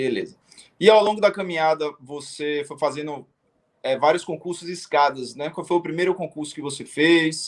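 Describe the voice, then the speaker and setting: Here a man with an unremarkable speaking voice talks at a fairly high pitch and a moderate pace. His loudness swings widely while his intonation stays fairly even. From Brazil, Salvador, Bahia. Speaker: live show host, exam coach. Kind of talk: casual interview. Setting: live stream.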